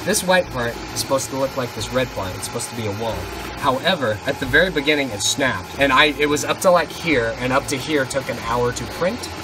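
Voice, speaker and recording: Over noticeable background noise, a man speaks at a very fast pace with ordinary pitch variation. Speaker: college vlogger. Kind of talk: casual vlog chat. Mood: enthusiastic, pleased. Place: home room. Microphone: phone near.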